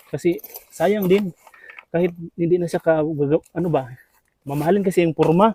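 The speech moves at a moderate pace, broken by long, frequent pauses. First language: Cebuano (Bisaya) (speaking Tagalog). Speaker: vlogger. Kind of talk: casual vlog narration.

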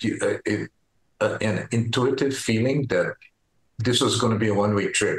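A man speaks at a medium pitch with a somewhat breathy voice. There is audible room echo over a quiet background. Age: 70s. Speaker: retired farmer and powerlifter. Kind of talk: interview answer. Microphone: video call.

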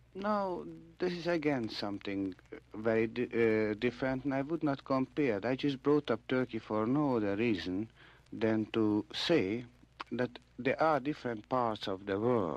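His delivery moves at a fairly slow pace with lively intonation. The sound is dry with no echo, and the speaker is a man. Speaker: radio interviewee. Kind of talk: interview answer. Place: studio. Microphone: old recording.

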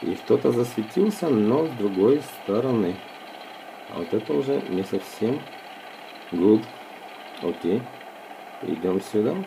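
A man with a medium pitch talks at a fairly slow pace, with lively intonation. He leaves long, frequent pauses amid noticeable background noise. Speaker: tech reviewer and video blogger. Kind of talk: live gameplay commentary and phone review. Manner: halting, with many fillers and repetitions.

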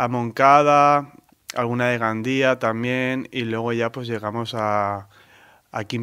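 A man with a bright, sharp tone speaks at medium pitch in a monotone, flat delivery on a very clean recording with a silent background. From Valencia, Spain. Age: 30s. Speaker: artist. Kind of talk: interview.

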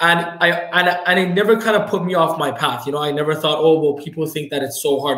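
Over a quiet background with audible room echo, a man talks at a fairly quick pace in a fairly high pitch with fairly even intonation. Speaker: entrepreneur, financial firm owner. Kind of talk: podcast interview. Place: office.

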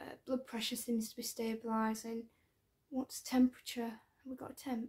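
Soft-spoken and relaxed, a woman with a British accent talks at a high pitch and a moderate pace in a monotone with flat intonation. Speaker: ASMR creator playing an ICU doctor. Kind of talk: ASMR medical roleplay. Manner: soft-spoken, relaxed. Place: home room. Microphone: phone near.

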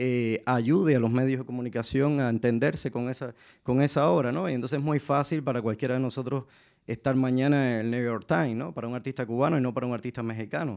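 A man's medium-pitched voice at a very fast pace, with ordinary pitch variation and a quiet background. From Cuba. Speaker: artist; panelist. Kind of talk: panel discussion. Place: stage. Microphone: handheld.

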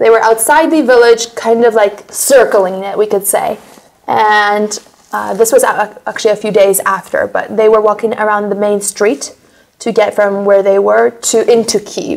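The speaker has an American accent, keeps a moderate pace, and shows ordinary pitch variation. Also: woman, fairly high pitch for a woman. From United States. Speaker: war survivor; interviewee. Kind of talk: interview testimony. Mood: earnest, recalling hard memories. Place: studio.

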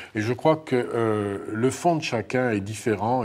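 Here is a man with a normal speaking voice and fairly low pitch. He speaks at a moderate pace. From northern France. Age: 50s. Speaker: former prisoner and author; interview guest. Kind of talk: testimony. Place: studio. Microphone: lapel.

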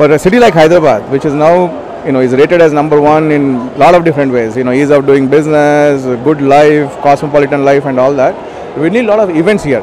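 With noticeable background noise, a man talks at a very fast pace in a dry, echo-free sound, his pitch varying in an ordinary way. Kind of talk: interview answer. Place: hall. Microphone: handheld.

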